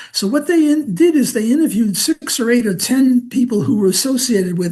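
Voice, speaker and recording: This man speaks with a New York accent at a moderate pace. His pitch swings very widely. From US Northeast, Brooklyn, New York. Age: 80s+. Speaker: economics professor. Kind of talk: interview. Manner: halting, many fillers.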